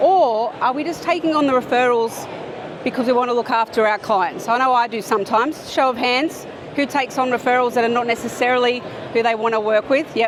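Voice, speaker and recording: A woman with an Australian accent speaks in a high, animated voice with ordinary pitch variation over noticeable background noise. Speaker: accountant and business speaker. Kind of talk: conference talk. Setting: stage with audience.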